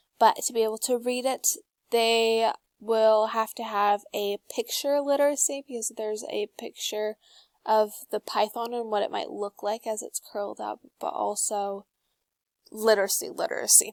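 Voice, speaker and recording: A woman with an unremarkable speaking voice talks at a moderate pace and fairly high pitch, her fairly even intonation heard in a dry, close sound with no echo. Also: very clean recording, silent background. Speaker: student presenter. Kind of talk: class presentation.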